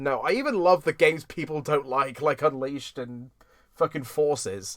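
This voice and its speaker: A man with a British accent talks at a fairly high pitch, with ordinary pitch variation. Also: moderate pace. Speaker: podcast host. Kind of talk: casual chat. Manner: animated.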